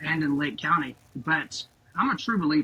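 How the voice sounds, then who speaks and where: A man with a Southern US accent over noticeable background noise. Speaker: high school principal. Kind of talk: podcast interview. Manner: animated.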